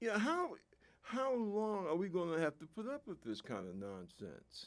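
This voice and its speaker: A man with a New York accent speaks at a moderate pace. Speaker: political commentator, veteran. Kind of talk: political monologue. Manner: animated.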